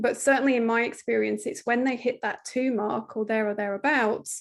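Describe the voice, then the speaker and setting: Her British accent comes with a high pitch and fairly even intonation. The woman talks at a fairly quick pace over a quiet background. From Britain. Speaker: parenting coach. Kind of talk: podcast interview.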